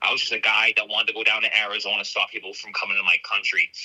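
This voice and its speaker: In a Boston accent, a man speaks at a very fast pace. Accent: thick Boston. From Boston area, Massachusetts. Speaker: border patrol agent, whistleblower. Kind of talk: testimony.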